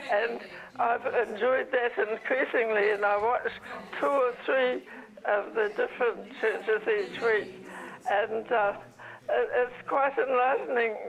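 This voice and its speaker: Against noticeable background noise, a woman with a fairly high pitch talks at a fairly slow pace, her loudness very even and her speech broken by long, frequent pauses. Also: fairly even intonation. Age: 90s. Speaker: viewer and donor. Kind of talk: phone call chat.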